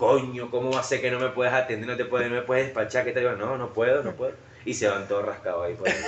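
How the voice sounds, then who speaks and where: A man talks at a very fast pace in a Venezuelan accent, with noticeable background noise. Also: medium pitch for a man, fairly even intonation. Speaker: podcast host. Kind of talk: casual chat.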